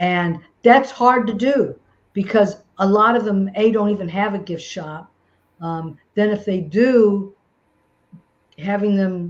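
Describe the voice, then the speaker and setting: A woman with an American accent, a very slow pace, and long, frequent pauses. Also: medium pitch for a woman, ordinary pitch variation. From St. Louis, US Midwest. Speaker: self-published children's author. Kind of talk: webinar Q&A. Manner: halting, many fillers.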